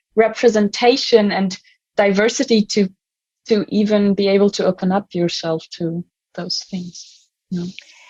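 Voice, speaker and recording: A woman's voice of medium pitch, dry and close with no echo. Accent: German. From Germany. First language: German. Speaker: youth volunteer. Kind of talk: podcast discussion. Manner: halting.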